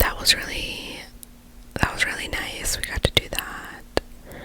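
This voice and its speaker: A woman is whispering at a very slow pace. Noticeable background noise runs behind her. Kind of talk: ASMR whispered life update ramble. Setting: close microphone. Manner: whispered.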